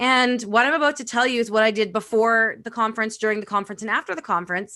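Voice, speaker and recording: Loud and animated, a woman talks at a very fast pace against a quiet background. Her fairly high voice has a bright, sharp tone. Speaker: networking and social media expert. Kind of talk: casual interview.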